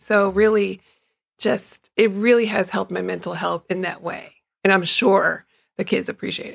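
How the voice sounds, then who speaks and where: A woman speaks at a medium pitch with vocal fry, her loudness swinging widely while her intonation stays fairly even. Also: moderate pace. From Chicago. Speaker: runner, guest host. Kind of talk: casual chat.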